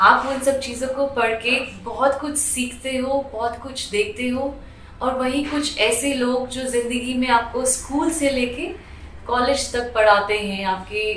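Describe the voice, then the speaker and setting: A woman speaks in a high voice with ordinary pitch variation, over noticeable background noise and audible room echo. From Delhi, India. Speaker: hospital staff, former aviation worker. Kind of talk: interview testimony.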